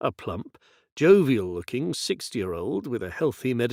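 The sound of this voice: This is an unforced reading voice. It is heard here reading aloud.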